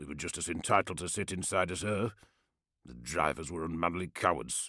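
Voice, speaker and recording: A man's put-on character voice, raspy and very deep, at a fairly quick pace, on a very clean recording with a silent background. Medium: read story. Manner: gruff, contemptuous.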